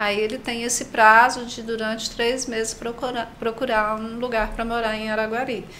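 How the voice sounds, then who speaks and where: A woman at a fairly slow pace and fairly high pitch, with audible room echo and noticeable background noise. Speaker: nurse and missionary. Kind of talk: panel discussion.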